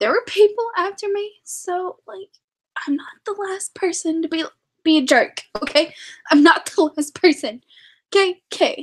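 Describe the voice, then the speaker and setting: A woman at an extremely high pitch, with very wide pitch swings, big swings in loudness, a moderate pace and long, frequent pauses, in a dry, close sound with no echo. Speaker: live stream host. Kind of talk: casual chat. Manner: animated.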